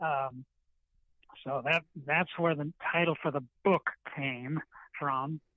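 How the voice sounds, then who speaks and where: A man's fairly high voice at a very slow pace, fairly even in intonation, with long, frequent pauses. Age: 80s+. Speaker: retired teacher and author. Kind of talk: interview. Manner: halting, many fillers.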